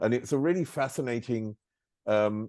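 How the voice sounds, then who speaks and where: A man speaks at a fairly slow pace in a normal speaking voice, his intonation lively. The background is quiet. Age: 60s. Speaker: interviewer. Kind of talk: interview.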